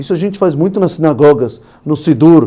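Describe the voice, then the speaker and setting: A man's dark, mellow tone with a non-native accent. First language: not Portuguese (speaking Portuguese). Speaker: rabbi. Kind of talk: podcast interview.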